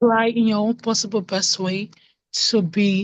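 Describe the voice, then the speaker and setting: A woman with a medium pitch, somewhat breathy, at a fairly slow pace. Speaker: workshop participant. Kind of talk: casual chat. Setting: video call.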